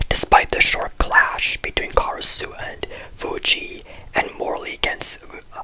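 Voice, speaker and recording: Whispering at a fairly slow pace, the voice comes through over noticeable background noise. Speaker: anime commentary youtuber. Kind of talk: video essay commentary. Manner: very quiet.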